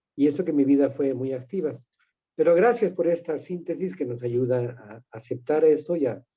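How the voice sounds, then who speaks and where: A man speaks at a moderate pace in a dark, mellow tone with a fairly high pitch. His intonation is lively, and his loudness swings widely. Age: 70s. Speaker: retired priest, participant. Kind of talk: casual chat.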